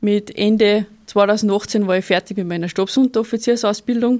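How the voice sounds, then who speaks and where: A woman with a dark, mellow tone and fairly high pitch speaks at a moderate pace with fairly even intonation. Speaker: sport shooter and soldier. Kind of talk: interview.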